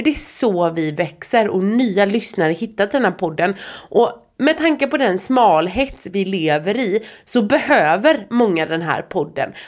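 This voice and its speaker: A woman speaks at a medium pitch and a fairly slow pace, her pitch swinging very widely. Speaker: podcast host. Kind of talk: casual chat. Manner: frequent filler words.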